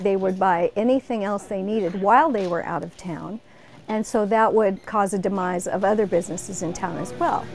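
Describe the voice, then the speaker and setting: The speech runs at a fairly quick pace with ordinary pitch variation while faint music plays in the background. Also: woman. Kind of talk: interview answer. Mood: warm, cheerful. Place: shop.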